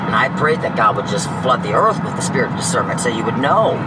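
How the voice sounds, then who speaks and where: A man talks in an animated tone, with audible room echo and noticeable background noise. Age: 60s. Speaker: homeless person interviewed. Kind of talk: street interview. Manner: halting.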